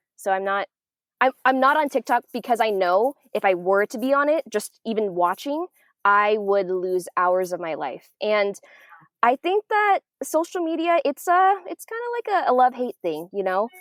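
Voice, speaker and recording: A woman talks at a moderate pace with very wide pitch swings, in a dry, close sound with no echo. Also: fairly high pitch for a woman. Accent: American. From Vietnamese American. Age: 20s. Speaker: podcast host and producer. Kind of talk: podcast guest discussion.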